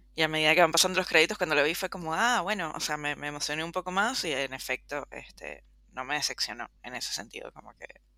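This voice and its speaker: Bright and sharp in tone, the voice races at a very fast pace with hardly any pauses, lively intonation and big swings in loudness. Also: woman, very deep, low pitch for a woman, very clean recording, silent background. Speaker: film podcast co-host. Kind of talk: casual chat.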